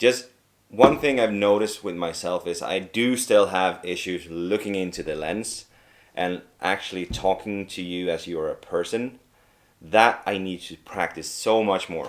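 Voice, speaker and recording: At a fairly slow pace, a man with a Swedish accent speaks in a fairly low voice, his loudness swinging widely. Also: ordinary pitch variation. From Sweden. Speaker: video creator trainee. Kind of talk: vlog to camera. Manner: talkative.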